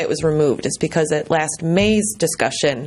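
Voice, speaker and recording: Female speech, lively in its intonation, noticeable background noise behind it. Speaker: resident speaking at council meeting. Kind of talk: public comment. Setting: city council meeting. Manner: fast; hesitant, many ums.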